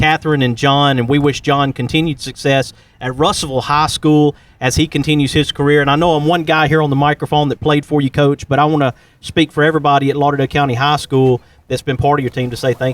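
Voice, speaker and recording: With a Southern US accent, a man with a fairly high voice speaks very fast in a flat monotone, the sound dry and close with no echo. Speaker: podcast host. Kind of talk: interview.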